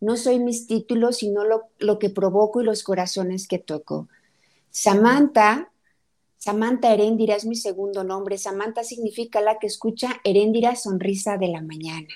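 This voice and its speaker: A woman speaks in a normal speaking voice with a fairly high pitch and fairly even intonation, at a moderate pace. The recording is very clean, with a silent background. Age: 30s. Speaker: nutritionist and family counselor. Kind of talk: interview.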